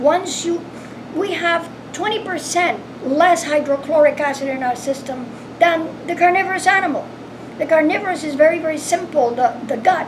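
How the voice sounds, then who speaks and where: A woman with an extremely high pitch and ordinary pitch variation speaks over noticeable background noise, with audible room echo. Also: moderate pace. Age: 80s+. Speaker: caregiver. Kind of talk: interview.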